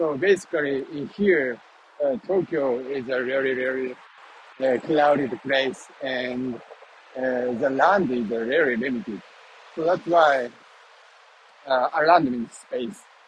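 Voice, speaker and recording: Long, frequent pauses break up a man's very slow speech at medium pitch. Noticeable background noise runs underneath. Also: ordinary pitch variation. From Japan. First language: Japanese. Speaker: vlogger. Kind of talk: walking vlog. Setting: outdoors, walking. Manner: halting, many fillers.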